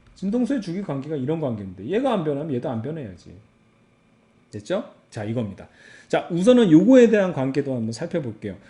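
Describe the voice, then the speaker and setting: His voice sits fairly high for a man yet has a dark, mellow tone. The pitch swings very widely as he speaks. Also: fairly quick pace. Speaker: physics teacher. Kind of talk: lecture. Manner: casual, animated.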